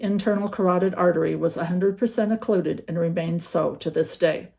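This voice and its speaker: A woman talks at a moderate pace in a dark, mellow tone that is somewhat breathy. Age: 60s. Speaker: patient with a rare metabolic disease. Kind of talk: prepared patient testimony.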